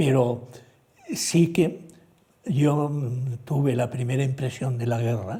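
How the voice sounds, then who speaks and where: The voice has a dark, mellow tone, somewhat breathy, with ordinary pitch variation. It moves at a very slow pace, broken by long, frequent pauses. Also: man, medium pitch for a man. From Spain, Ciudad Real (La Mancha). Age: 90s (born 1930). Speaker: retired theology professor. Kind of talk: TV interview.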